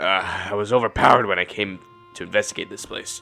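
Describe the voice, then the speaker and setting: Doing a put-on character voice, a man sounds wheezy at a fairly low pitch and moderate pace, with clear music in the background. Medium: read story. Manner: polite, slightly formal.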